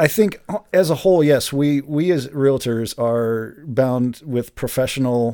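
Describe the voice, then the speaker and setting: Speaking with a Midwestern American accent, a man has a dark, mellow tone. His pitch variation is ordinary. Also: very clean recording, silent background. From Greater Cincinnati suburbs, Ohio. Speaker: realtor. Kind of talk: casual chat. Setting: studio.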